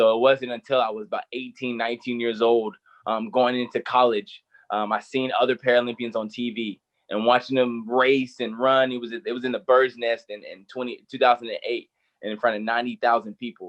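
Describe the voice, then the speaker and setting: Speaking in an American accent, a man with a normal speaking voice and medium pitch moves at a fairly quick pace. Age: 30s. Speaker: Paralympic sprinter. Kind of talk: interview. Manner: repeats words often.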